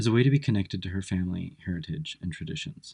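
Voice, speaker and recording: A man with a fairly low pitch talks very fast in a somewhat breathy voice with lively intonation. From United States. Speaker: podcast trainee. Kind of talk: casual chat; scripted narration.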